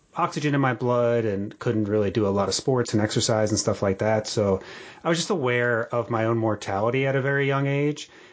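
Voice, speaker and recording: A man with an unremarkable speaking voice and an American accent, medium-pitched with ordinary pitch variation, at a fairly quick pace. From Atlantic City, New Jersey. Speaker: podcast host. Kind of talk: casual interview.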